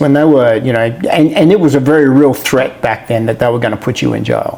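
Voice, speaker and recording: Over noticeable background noise, a man with an Australian accent talks at a medium pitch and a fairly quick pace. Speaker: interviewer. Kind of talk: interview.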